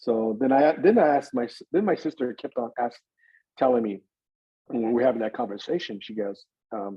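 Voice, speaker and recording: At a fairly quick pace, a man with an American accent uses an unremarkable speaking voice at medium pitch with ordinary pitch variation. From Northern California. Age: 60s. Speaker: adoptee sharing his life story. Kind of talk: personal testimony in podcast interview.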